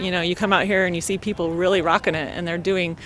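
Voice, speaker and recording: A woman speaks with an American accent at a medium pitch. Noticeable background noise runs under her voice. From Colorado. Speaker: senior volleyball player. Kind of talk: interview.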